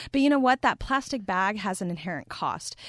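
Over a quiet background, a woman with a Texan accent speaks at a fairly quick pace with very wide pitch swings. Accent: Texan American English. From Texas, US. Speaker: plastic pollution chemist. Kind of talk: interview.

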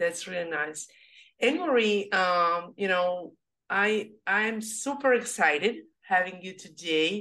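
A woman with a Serbian accent speaks at a very slow pace in a medium pitch with a bright, sharp tone. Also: ordinary pitch variation. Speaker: podcast host. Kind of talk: interview, podcast conversation. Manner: halting, non-fluent.

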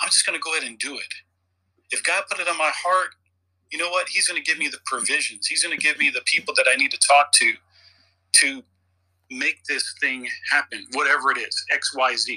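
A man's fairly quick speech broken by long, frequent pauses. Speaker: leadership coach and military veteran. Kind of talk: casual chat. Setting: audio chat app room.

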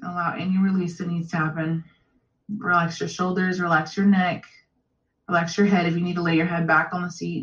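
Somewhat breathy speech moves at a fairly quick pace in a monotone, flat intonation. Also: woman, fairly low pitch for a woman. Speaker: energy healer giving a reading. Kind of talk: guided breathwork meditation; coaching session and energy reading. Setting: one-on-one coaching call.

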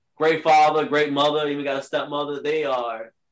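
A man with an American accent has a normal speaking voice at a fairly high pitch. He keeps a moderate pace. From Richmond, Virginia. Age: 30s. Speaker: Crohn's patient, fitness lifestyle advocate. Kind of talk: casual interview.

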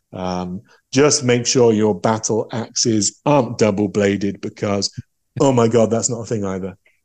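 With an English accent, a man speaks at a moderate pace in a fairly low pitch with fairly even intonation. His tone is dark and mellow against a quiet background. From England. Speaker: game designer and novelist. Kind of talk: interview.

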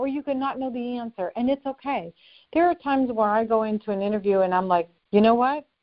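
Here a woman talks in a high voice at a fairly quick pace. Her intonation is lively. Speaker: author and life coach. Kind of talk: interview.

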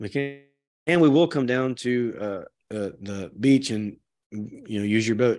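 Here is a man with an unremarkable speaking voice at a medium pitch. He speaks at a fairly slow pace with ordinary pitch variation. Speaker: podcast host. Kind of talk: casual chat. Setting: remote video call.

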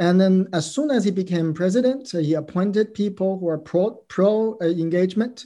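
A man speaks with a Chinese accent in a dark, mellow tone, his pitch varying in an ordinary way. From China. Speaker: former prisoner and history doctoral candidate. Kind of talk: interview. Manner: halting, many fillers.

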